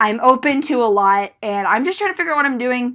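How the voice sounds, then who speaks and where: A woman speaks loudly at a fairly quick pace, her tone bright, sharp and animated. Her pitch varies in an ordinary way. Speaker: YouTuber discussing TV shows. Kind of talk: casual unscripted vlog monologue. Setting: solo on camera. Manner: rambling, animated.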